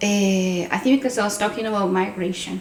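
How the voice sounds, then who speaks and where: With a slight Venezuelan accent, a woman speaks at a medium pitch and a moderate pace, with audible room echo and noticeable background noise. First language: Spanish. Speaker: podcast co-host. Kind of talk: casual chat.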